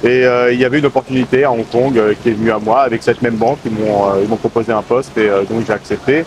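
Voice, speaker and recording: Over noticeable background noise, a man talks very fast with hardly any pauses, in a medium pitch with fairly even intonation and very even loudness. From France, Paris suburbs. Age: 30s. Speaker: expat banker. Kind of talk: interview. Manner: hesitant, many fillers.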